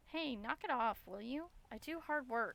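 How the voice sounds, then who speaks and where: Putting on a character voice, a woman speaks at a moderate pace with a high pitch and lively intonation. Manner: trying to sound strong, defensive.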